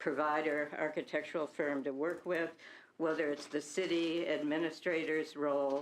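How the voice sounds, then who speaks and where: A woman speaks with a very deep, low pitch against a quiet background. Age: 70s. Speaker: project advocate speaking at council. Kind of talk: public comment at city council. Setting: city council meeting.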